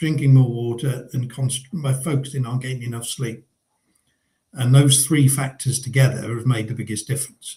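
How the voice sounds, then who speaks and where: Speaking at a moderate pace with a southern English accent, a man uses a medium-pitched, somewhat breathy voice with a dark, mellow tone and fairly even intonation. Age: 60s. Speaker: business owner, coaching client. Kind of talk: interview. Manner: hesitant, many fillers.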